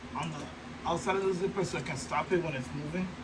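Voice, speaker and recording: Speaking at a moderate pace, a man uses a high pitch and an animated tone. Audible room echo and noticeable background noise fill the recording. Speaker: sewing crafter vlogger. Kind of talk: tutorial.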